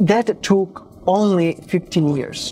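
A man's voice with ordinary pitch variation amid noticeable background noise. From Italy. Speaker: podcast host, interviewee. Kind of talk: interview.

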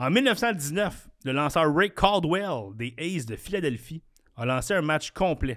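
In a very clean recording with a silent background, a man with a Quebec accent talks at a fairly high pitch with very wide pitch swings. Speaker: podcast host. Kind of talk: casual chat; quiz hosting. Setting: studio.

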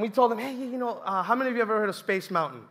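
With an animated tone and ordinary pitch variation, a man speaks at a high pitch. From Colombia. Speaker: youth ministry intern preacher. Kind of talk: sermon. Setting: church with audience.

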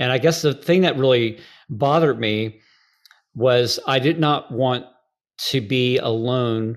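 The man speaks at a medium pitch on a very clean recording with a silent background. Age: 40s. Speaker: worship leader and trainer. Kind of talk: interview conversation.

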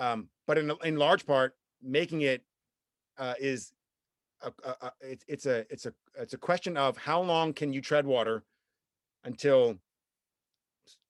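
The man's fairly high voice, with ordinary pitch variation, swings widely in loudness and breaks into long, frequent pauses, recorded dry and close with no echo. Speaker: songwriter and composer. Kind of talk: casual podcast interview. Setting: remote call, guest in New York State.

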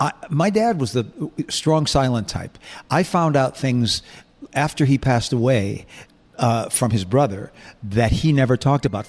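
At a moderate pace and medium pitch, a man talks with lively intonation in a normal speaking voice. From US Northeast (Buffalo, New York), born in England. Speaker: singer and entertainer. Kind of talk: casual chat. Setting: studio.

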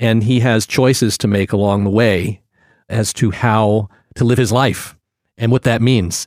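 A man speaks in a plain, everyday voice at medium pitch, with fairly even intonation and very even loudness, in a very clean recording with a silent background. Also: fairly slow pace. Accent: American. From US, Virginia (Portsmouth). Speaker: acting professor and acting coach. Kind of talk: casual interview.

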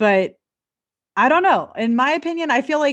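A woman with an American accent talks at a moderate pace with very wide pitch swings. The background is quiet. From Southern California. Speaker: podcast co-host and makeup artist. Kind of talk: casual chat.

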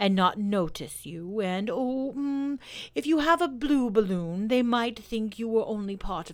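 Natural-voiced reading aloud, full of lively intonation

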